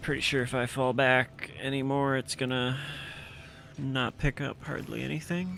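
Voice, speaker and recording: A soft-spoken man talks at a moderate pace, his medium pitch varying in an ordinary way. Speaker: gaming video creator. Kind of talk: casual commentary while unboxing. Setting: home recording, wearing headphones. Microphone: speaking close to the mic, may be too quiet.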